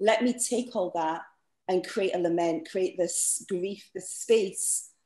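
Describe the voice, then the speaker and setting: A woman speaks with a Scottish accent at a fairly slow pace. Her medium pitch has ordinary variation. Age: 40s. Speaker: playwright. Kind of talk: panel discussion. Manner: halting.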